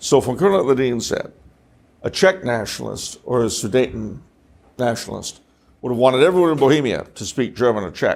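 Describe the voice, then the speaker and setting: Fairly quick delivery with lively intonation. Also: man, medium pitch for a man. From Los Angeles, California. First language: French. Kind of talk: talk to an audience. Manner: conversational with jokes and asides.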